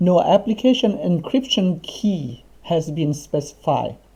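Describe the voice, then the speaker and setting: A man speaks with a Thai accent and a high pitch. His tone is dark and mellow, with lively intonation. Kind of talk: coding tutorial screencast. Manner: casual, conversational.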